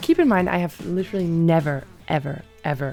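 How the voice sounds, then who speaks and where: With music in the background, a woman speaks at a moderate pace in an enthusiastic tone. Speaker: volleyball commentator and former Olympian. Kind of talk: casual talk to camera, reaction video. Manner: chatty, enthusiastic, joking.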